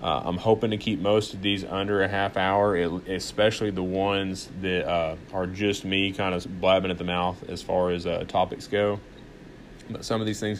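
Spoken at a moderate pace, the words have a monotone, flat intonation. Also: man, very deep, low pitch for a man. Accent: Southern US. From US South, Arkansas. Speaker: podcast host. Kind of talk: casual monologue. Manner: halting, many fillers.

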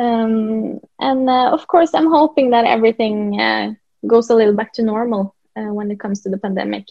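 At a moderate pace, a woman with a Norwegian accent speaks at a fairly high pitch with ordinary pitch variation. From Norway. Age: 20s. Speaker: country singer-songwriter. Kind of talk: interview. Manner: halting, many fillers.

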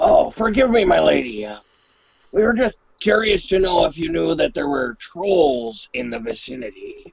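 A man does a put-on character voice, raspy and high-pitched. His pitch swings very widely at a moderate pace. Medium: actual play. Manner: playful, mock-gallant.

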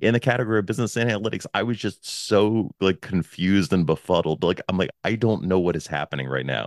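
Very fast and with hardly any pauses, a man speaks at a very deep, low pitch with vocal fry and lively intonation, the sound dry and close with no echo. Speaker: podcast host. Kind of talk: casual chat. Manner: loud.

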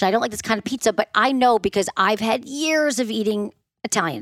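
With a Midwestern American accent, a woman talks at a fairly quick pace in an animated tone and lively intonation, recorded dry and close with no echo against a silent background in a very clean recording. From US Midwest. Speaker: sex therapist. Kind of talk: casual interview chat.

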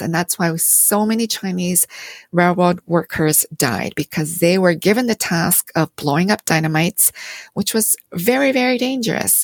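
Dry and close with no echo, a woman's voice has a fairly low pitch, lively intonation and a Canadian accent. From Canada (London, Ontario), Korean-born. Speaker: theology professor and author. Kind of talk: interview conversation.

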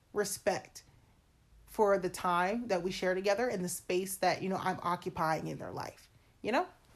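On a very clean recording with a silent background, a woman with an unremarkable speaking voice talks fairly slowly at medium pitch with ordinary pitch variation. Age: 20s. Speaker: podcast host. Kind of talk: casual monologue.

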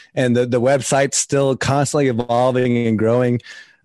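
This man has a normal speaking voice at a medium pitch and a moderate pace. The sound is dry and close with no echo, over a quiet background. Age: 40s. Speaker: podcast host and personal development coach. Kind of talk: casual interview conversation.

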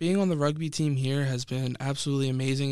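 This man talks fairly quickly at a medium pitch, with fairly even intonation and an American accent. The recording is very clean, with a silent background. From Pennsylvania, suburban Philadelphia. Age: 20s. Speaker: college student podcaster. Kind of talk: solo podcast monologue.

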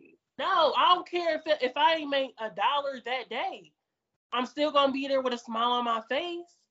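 Her voice high in pitch with ordinary variation, a woman talks in a Detroit accent. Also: moderate pace. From US, Detroit. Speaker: adult film performer and podcaster. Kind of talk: casual chat. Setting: video call.

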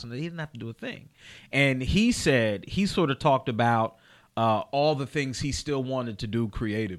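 A normal speaking voice, this man talks with an American accent at a medium pitch and a fairly quick pace, with lively intonation. The recording is very clean, with a silent background. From Chester, Pennsylvania. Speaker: podcast host and comedian. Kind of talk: casual chat. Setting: studio.

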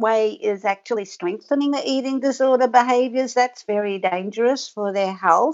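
At a moderate pace, a woman with an Australian accent speaks at a fairly high pitch with ordinary pitch variation. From rural Victoria, Australia. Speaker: author and researcher. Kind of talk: interview.

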